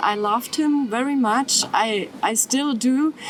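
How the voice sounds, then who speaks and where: Over noticeable background noise, a woman with a German accent speaks at a high pitch. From Germany, near Stuttgart. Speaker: descendant of a Nazi perpetrator. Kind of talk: testimony. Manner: halting.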